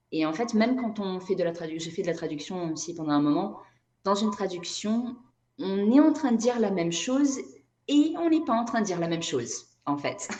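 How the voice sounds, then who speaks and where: Room echo is audible as a woman talks at a fairly quick pace. Her medium-pitched voice swings very widely in pitch. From Brazil. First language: Portuguese (speaking French). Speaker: energy therapist and writer. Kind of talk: interview conversation.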